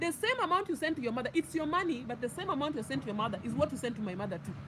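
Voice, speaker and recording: Against noticeable background noise, a woman talks very fast with very wide pitch swings. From Kenya. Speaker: YouTuber. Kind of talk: storytime monologue. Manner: animated.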